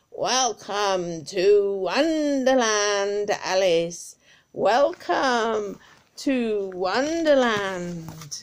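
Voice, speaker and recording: In a put-on character voice, a shrill, female-sounding voice at medium pitch speaks at a very slow pace on a very clean recording with a silent background. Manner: cheerful, welcoming.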